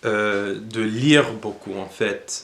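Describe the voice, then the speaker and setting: Audible room echo surrounds a man who speaks at a medium pitch with fairly even intonation. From United States. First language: English (speaking French). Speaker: language learning youtuber. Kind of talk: casual tutorial monologue. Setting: at home. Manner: halting, many hesitations.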